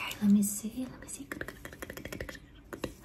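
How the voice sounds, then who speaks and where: A woman whispers at a fairly quick pace. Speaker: ASMR creator. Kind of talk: soft ASMR roleplay talk. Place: home room. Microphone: studio mic.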